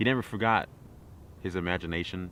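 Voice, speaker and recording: A man with a very deep, low pitch speaks at a very fast pace. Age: young. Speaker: vlogger. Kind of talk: casual vlog talk to camera while walking. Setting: outdoors.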